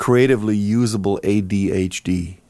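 This man has a dark, mellow tone, a fairly low pitch and ordinary pitch variation, speaking with a German accent on a very clean recording with a silent background. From Germany, near Cologne. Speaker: jazz musician and composer. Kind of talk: casual interview.

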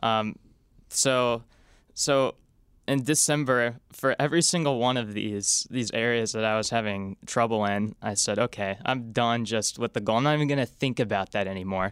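A man speaks in a normal speaking voice at a moderate pace, with ordinary pitch variation and very even loudness. The recording is very clean with a silent background, and the sound is dry and close with no echo. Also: medium pitch for a man. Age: 20s. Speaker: stock analyst. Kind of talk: casual interview chat.

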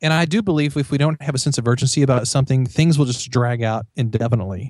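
A somewhat breathy man with an American accent, a very fast pace and ordinary pitch variation, on a very clean recording with a silent background. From Missouri, US Midwest. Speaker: author and professor. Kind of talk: casual interview chat.

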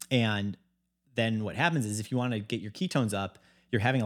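The recording is very clean with a silent background as a man speaks in an ordinary speaking voice, fairly low in pitch with ordinary pitch variation. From US Midwest, Chicago. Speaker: health company founder. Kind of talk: casual interview chat. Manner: casual, many filler likes.

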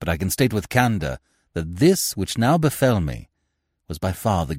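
A quiet background behind plain reading aloud.

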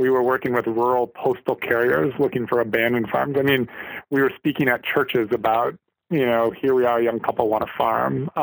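With an Upper Midwest accent, the voice shows ordinary pitch variation in a dry, close recording with no echo. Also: man. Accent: Upper Midwest American. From Minnesota, St. Cloud. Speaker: vegetable farmer. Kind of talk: interview. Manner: halting, with many fillers.

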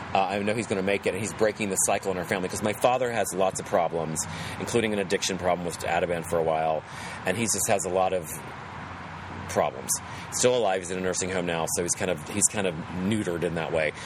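A man with an American accent, very deep and low in pitch, fairly even in intonation, at a very fast pace, over noticeable background noise. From West Virginia. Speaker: actor. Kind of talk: casual chat. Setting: poolside outdoors.

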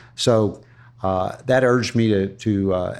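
A man with an American accent speaks at a moderate pace and a fairly low pitch. The background is quiet. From US South, Florida (Ruskin). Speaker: retired cigar shop owner. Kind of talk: interview, casual chat. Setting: coffee shop. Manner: halting, many fillers.

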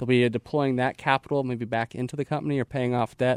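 A man at medium pitch and a very fast pace, monotone and flat, in a dry, close sound with no echo. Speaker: investment analyst. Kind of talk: casual chat about stock picks. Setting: studio.

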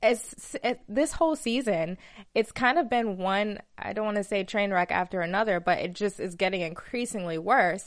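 An ordinary speaking voice moves at a moderate pace with lively intonation. The background is quiet. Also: woman. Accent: American. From Alabama, US South. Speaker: TV after-show host. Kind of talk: casual chat. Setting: studio.

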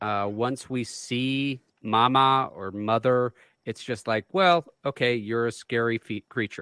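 A man talks at a very slow pace with a medium pitch. The sound is dry and close, with no echo. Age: 40s. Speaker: podcast co-host. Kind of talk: casual chat.

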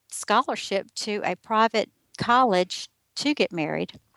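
A woman with a Southern US accent speaks at a fairly slow pace in a fairly high pitch, her tone bright and sharp. The background is quiet and the sound dry and close, with no echo. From US South. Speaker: life coach and writer. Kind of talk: interview testimony.

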